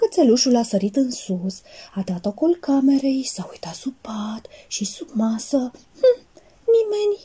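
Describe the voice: What we hear is plain reading aloud.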